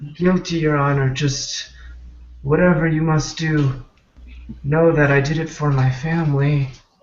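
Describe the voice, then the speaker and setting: A man uses a put-on character voice that is shaky, fairly high in pitch and monotone, with flat intonation. He keeps a moderate pace broken by long, frequent pauses. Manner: shaky, weak, scared.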